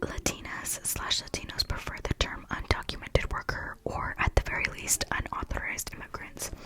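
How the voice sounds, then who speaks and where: Noticeable background noise sits beneath a woman who whispers at a moderate pace. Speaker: ASMR creator. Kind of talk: casual talk to camera. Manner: soft-spoken.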